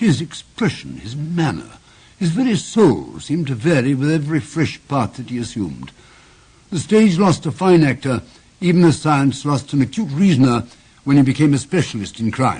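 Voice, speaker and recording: In a normal speaking voice, a man speaks at a moderate pace with a fairly high pitch and lively intonation. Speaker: actor. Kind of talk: narration.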